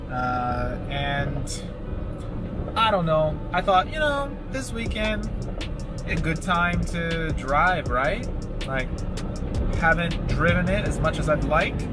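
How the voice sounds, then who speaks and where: Loud background noise sits behind a man with an American accent. He speaks at a very slow pace in a dry sound with no echo. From Michigan, USA. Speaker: English teacher in Japan. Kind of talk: casual vlog talk while driving. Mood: relaxed, wry. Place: car. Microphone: camera far.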